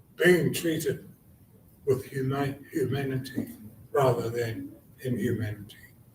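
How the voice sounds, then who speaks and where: A man's medium-pitched voice, fairly slow, with ordinary pitch variation, long and frequent pauses, and audible room echo. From New Zealand (Taranaki, Māori). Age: 70s. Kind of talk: conference panel talk.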